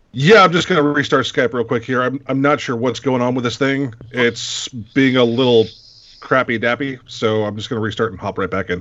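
A man talks at a fairly quick pace in an ordinary speaking voice, medium in pitch with ordinary pitch variation. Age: 30s. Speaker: vape reviewer panelist.

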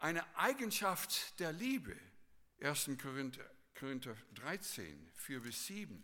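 A man with a fairly high pitch and a bright, sharp tone talks at a very slow pace with very wide pitch swings. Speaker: preacher. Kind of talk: sermon. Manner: earnest, teacherly preaching, repeating key phrases for emphasis.

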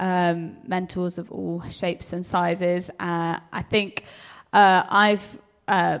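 A woman with an unremarkable speaking voice, fairly low in pitch, with fairly even intonation. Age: 20s. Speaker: civil servant. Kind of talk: panel interview.

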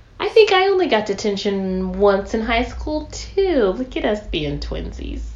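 A woman talks at a fairly slow pace with hardly any pauses over noticeable background noise. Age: 20s. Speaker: podcast co-host. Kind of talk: casual chat.

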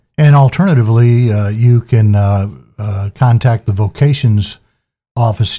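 A man speaks at a moderate pace in a dark, mellow tone that is somewhat breathy, with fairly even intonation. The very clean recording has a silent background and a dry, close sound with no echo. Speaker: public affairs officer, podcast host. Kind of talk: interview.

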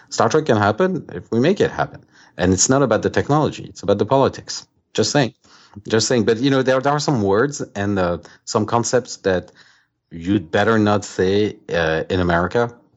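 A man with a French accent, fairly low pitch, lively intonation and a moderate pace. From France. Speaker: author. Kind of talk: interview.

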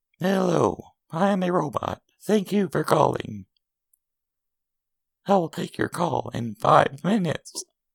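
Delivered in a middle pitch, a put-on character voice moves at a fairly slow pace with long, frequent pauses.

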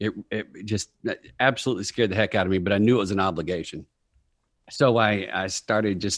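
An ordinary speaking voice from a man at fairly low pitch, fairly quick pace and ordinary pitch variation, with a quiet background and a dry, close sound with no echo. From Texas. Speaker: comedy writer and corporate speaker. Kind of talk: casual interview.

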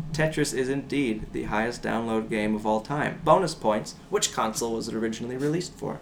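Fairly quick speech with hardly any pauses and ordinary pitch variation, over noticeable background noise. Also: man, medium pitch for a man. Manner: animated, theatrical, playful, switching into a motherly voice and mock-ominous tone.

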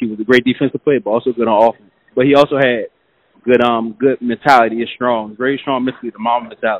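A man speaks very fast with an American accent. His intonation is monotone and flat. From Washington, D.C. area, US. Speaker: author and motivational speaker. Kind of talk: casual podcast interview. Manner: fast talker.

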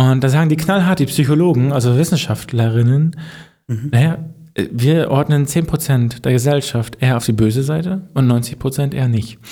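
A man's somewhat breathy voice, medium in pitch with a dark, mellow tone, at a moderate pace with ordinary pitch variation. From Mecklenburg-Vorpommern, Germany. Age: 30s. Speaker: podcast co-host. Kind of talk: casual chat.

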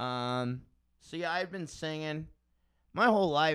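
In a very clean recording with a silent background, a man with an American accent uses a bright, sharp tone at a fairly high pitch with ordinary pitch variation. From South Florida (Tequesta). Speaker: musician and podcaster. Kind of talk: casual chat.

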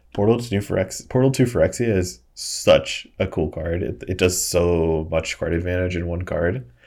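A man with an American accent speaks at a moderate pace in a very deep, low voice that is somewhat breathy, with ordinary pitch variation and hardly any pauses, on a very clean recording with a silent background. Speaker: co-host, Magic: The Gathering podcaster. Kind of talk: casual chat. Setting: recorded live on stream with chat.

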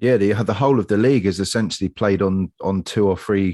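A man with a fairly low pitch and a slightly mellow tone speaks at a fairly quick pace. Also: ordinary pitch variation.

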